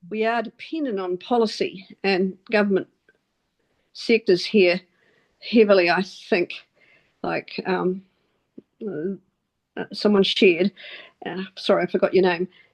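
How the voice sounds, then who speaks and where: A woman with a New Zealand accent at a medium pitch, fairly slow pace and ordinary pitch variation, with long, frequent pauses and a dry, close sound with no echo. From New Zealand, Wellington. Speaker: meetup participant. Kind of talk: group video call discussion. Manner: halting.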